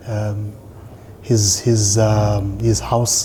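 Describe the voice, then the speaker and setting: With noticeable background noise and audible room echo, a man speaks in a fairly low pitch with monotone, flat intonation. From South Africa, Eastern Cape (Mthatha). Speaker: rugby coach and player. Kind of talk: interview. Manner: halting, many fillers and repetitions.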